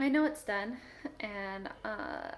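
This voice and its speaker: The woman's speech has a lively intonation. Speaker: writer vlogger. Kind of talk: casual vlog update. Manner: fast.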